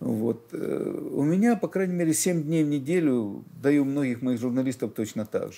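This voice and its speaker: Here a man with a plain, everyday voice speaks fairly high in pitch at a fairly slow pace, with hardly any pauses. His intonation is lively, and his loudness stays very even. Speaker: newspaper editor. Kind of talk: interview answer. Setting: studio. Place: studio. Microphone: lapel.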